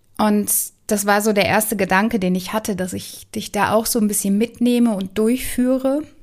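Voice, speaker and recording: On a very clean recording with a silent background, a woman with an unremarkable speaking voice talks at a fairly high pitch with fairly even intonation. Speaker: relationship mentor and podcast host. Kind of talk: guided meditation. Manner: slow, calm, soothing; gentle, warm, with long pauses.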